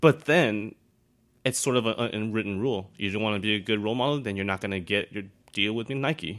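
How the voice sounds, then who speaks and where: A man speaks in an ordinary speaking voice with an American accent. He talks at a fairly quick pace, with a fairly low pitch and ordinary pitch variation. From Taiwan, raised in the US from age eight. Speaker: dancer and photographer. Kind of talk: casual chat.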